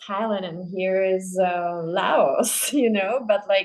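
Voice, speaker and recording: A woman with a Czech accent. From Czech Republic. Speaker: podcast host, dancer. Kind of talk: casual interview chat. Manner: halting, many fillers.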